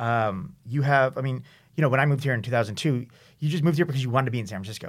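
Speaking very fast in a Californian accent, a man uses ordinary pitch variation on a very clean recording with a silent background. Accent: Californian American English. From US West Coast, San Diego. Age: 30s. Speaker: writer and website founder. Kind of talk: casual interview. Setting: studio.

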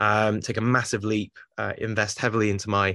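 Over a quiet background, a man with a fairly low pitch and a bright, sharp tone talks at a moderate pace. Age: 30s. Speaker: life coach. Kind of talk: casual chat.

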